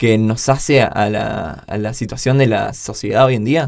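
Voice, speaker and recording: A man with a plain, everyday voice speaks at a fairly slow pace. His pitch is medium, with ordinary pitch variation. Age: 20s. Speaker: podcast co-host. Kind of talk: casual chat.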